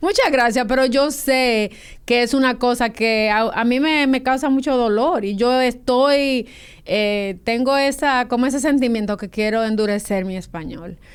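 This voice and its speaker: A woman with a high-pitched voice, speaking at a fairly slow pace with ordinary pitch variation, in a very clean recording against a silent background. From Dominican Republic, San Cristóbal. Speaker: novelist. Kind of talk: interview.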